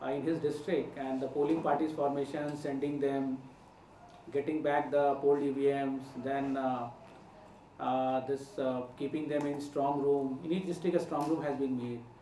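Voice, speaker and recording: With audible room echo and light background noise, the speaker goes at a moderate pace in a monotone, flat intonation. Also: man. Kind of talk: press conference statement. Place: hall. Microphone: podium.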